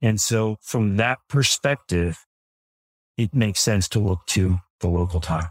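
This man has a plain, everyday voice with a fairly low pitch and ordinary pitch variation, speaking at a fairly slow pace. His loudness stays very even, and the sound is dry and close with no echo. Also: very clean recording, silent background. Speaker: lawyer guest. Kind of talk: casual professional legal discussion.

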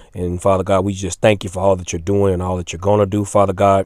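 Talking at a very fast pace, a man uses a monotone, flat intonation. His pitch is very deep and low. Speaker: lay minister leading a weekly prayer. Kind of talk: fervent extemporaneous prayer, repetitive petitions punctuated by 'Father God'. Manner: earnest and pleading, with a rhythmic refrain of 'Father God'; unscripted, occasional stumbles and repeated words.

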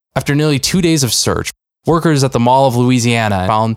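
Here is a plain, everyday voice from a man of medium pitch. He speaks at a moderate pace with lively intonation. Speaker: podcast co-host. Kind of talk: casual chat with a scripted news-parody skit. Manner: conversational, laughs while riffing.

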